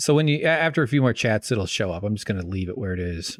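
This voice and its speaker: Talking at a very fast pace, a man uses a fairly low pitch and lively intonation. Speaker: streamer. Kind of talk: casual chat. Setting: live stream. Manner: halting.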